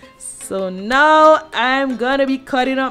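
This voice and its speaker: A woman talks while faint music sits in the background. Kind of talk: cooking tutorial chat. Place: kitchen. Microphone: camera far.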